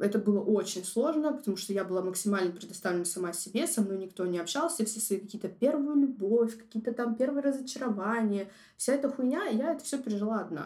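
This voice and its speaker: This woman talks at a very fast pace with lively intonation. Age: 20s. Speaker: designer sharing personal story. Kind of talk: personal testimony, casual.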